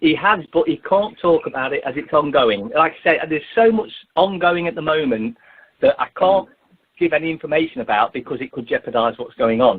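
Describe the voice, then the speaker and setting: His fairly high voice moving in lively intonation, a man speaks at a fairly quick pace with big swings in loudness. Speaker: activist. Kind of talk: radio interview.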